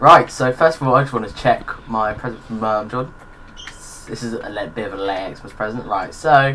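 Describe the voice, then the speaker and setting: The man here speaks in a medium pitch at a moderate pace, with ordinary pitch variation. His loudness swings widely over noticeable background noise. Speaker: gamer. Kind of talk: casual gameplay chat. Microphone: mic far away, across the room.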